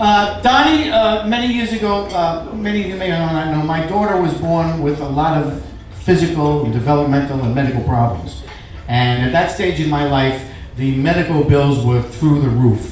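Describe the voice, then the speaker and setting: Lively intonation in a New York accent comes at a moderate pace, with audible room echo and noticeable background noise. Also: man. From New York, Staten Island. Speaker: comedian. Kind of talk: after-dinner speech.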